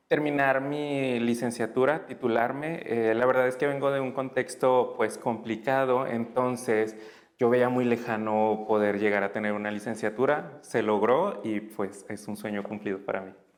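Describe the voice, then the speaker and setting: A man with a normal speaking voice talks at a fairly slow pace and medium pitch, with fairly even intonation and hardly any pauses. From Tamaulipas, Mexico. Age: 30s. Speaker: former community educator. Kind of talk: interview.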